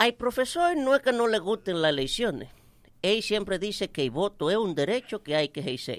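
A man's high-pitched voice with very wide pitch swings at a moderate pace, dry and close with no echo. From Dominican Republic, Santiago countryside. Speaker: comedian. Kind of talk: stand-up.

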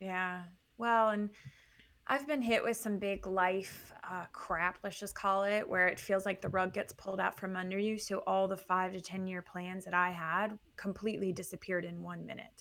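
A woman speaks in a plain, everyday voice at a moderate pace and medium pitch, with fairly even intonation. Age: 40s. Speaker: entrepreneur and networking expert. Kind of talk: interview.

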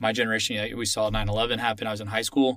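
With an American accent, a man talks at a fairly quick pace in a medium pitch, an ordinary speaking voice on a very clean recording with a silent background. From Texas, Austin. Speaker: military officer. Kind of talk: interview.

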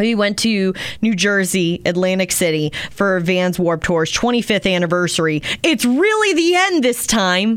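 A woman's normal speaking voice with an American accent, medium in pitch with ordinary variation, fairly slow with hardly any pauses and very even loudness. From Maryland. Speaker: radio host. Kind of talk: casual chat.

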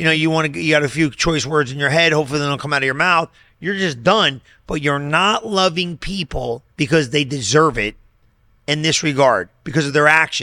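Animated and quick, a man with an American accent speaks in a bright, sharp tone at a fairly high pitch with ordinary pitch variation, on a very clean recording with a silent background. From US Northeast. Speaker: pastor. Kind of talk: casual chat.

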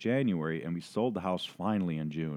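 Someone with an American accent speaks at a very fast pace with lively intonation. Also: man. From Minnesota, Saint Paul. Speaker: writer and small business owner. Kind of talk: reading aloud. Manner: halting.

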